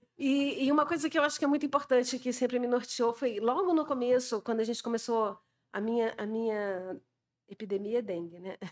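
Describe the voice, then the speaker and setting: Over a quiet background, a high-pitched woman talks at a fairly quick pace. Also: ordinary pitch variation. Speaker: scientist; panelist. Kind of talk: panel talk. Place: hall. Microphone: podium.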